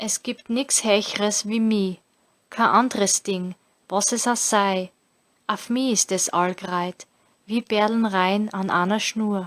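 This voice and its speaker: A Styrian accent at a very slow pace, with fairly even intonation and long, frequent pauses. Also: woman, medium pitch for a woman, dry, close sound with no echo. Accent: Styrian Austrian German dialect. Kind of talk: scripture reading.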